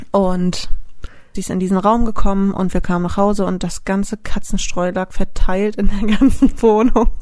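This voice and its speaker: The woman has a medium pitch and a dark, mellow tone, with fairly even intonation. Her pace is moderate, but her loudness swings a lot. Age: 20s. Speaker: dog photographer and co-host. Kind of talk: casual chat.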